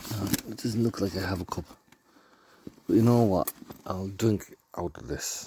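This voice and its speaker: Quiet and at a moderate pace, a man speaks with a fairly low pitch, ordinary pitch variation, big swings in loudness and long, frequent pauses. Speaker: camping vlogger. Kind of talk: casual vlog talk. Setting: outdoors at campsite. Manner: quiet, keeping voice down.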